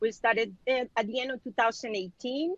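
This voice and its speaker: A woman with a Spanish accent speaks at a moderate pace in a fairly high voice, the sound dry and close with no echo. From Mexico (Culiacan, Sinaloa). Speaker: physician and business owner. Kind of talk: panel discussion.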